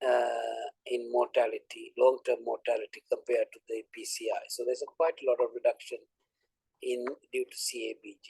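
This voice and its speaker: A man's loudness swings widely. The sound is dry and close, with no echo. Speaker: invited academic speaker. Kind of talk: lecture. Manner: fast.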